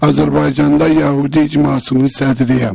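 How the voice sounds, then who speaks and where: Speaking at a very slow pace, a man is heard through noticeable background noise. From Azerbaijan. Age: 60s. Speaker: community leader. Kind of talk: testimony. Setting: legislative committee hearing.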